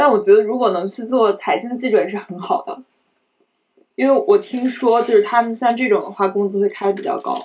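A woman with an ordinary speaking voice, fairly high pitch, fairly quick delivery and lively intonation. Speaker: journalism graduate student. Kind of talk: casual panel discussion.

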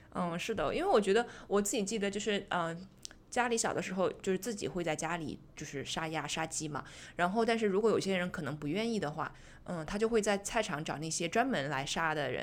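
a normal speaking voice with lively intonation at a fairly quick pace. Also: woman, medium pitch for a woman. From Zhejiang, China. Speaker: podcast host. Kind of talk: casual chat.

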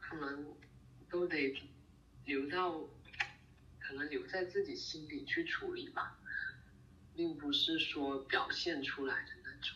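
Speech comes at a very slow pace, broken by long, frequent pauses. Noticeable background noise runs underneath. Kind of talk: casual chat. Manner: halting, many fillers and repeats.

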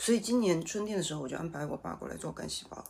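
A woman is talking. Behind her, background noise is noticeable. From Sichuan, China. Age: 40s. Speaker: vlogger and shop owner. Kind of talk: casual chat. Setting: home study.

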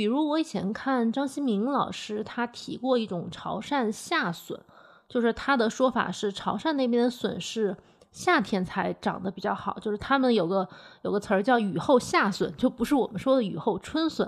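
A woman speaks at a moderate pace in a fairly high pitch, using a normal speaking voice. Her intonation is lively. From Hunan, Changsha. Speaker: food podcast host. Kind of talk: podcast narration and conversational interview.

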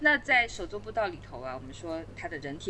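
Against noticeable background noise, a woman talks with very wide pitch swings. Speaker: trail builder and permaculture designer. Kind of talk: podcast interview.

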